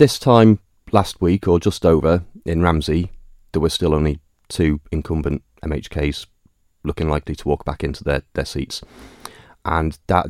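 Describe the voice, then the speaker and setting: A man with a Manx accent, a very deep, low pitch and fairly even intonation. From Isle of Man, Douglas. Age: 40s. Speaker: election candidate. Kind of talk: interview.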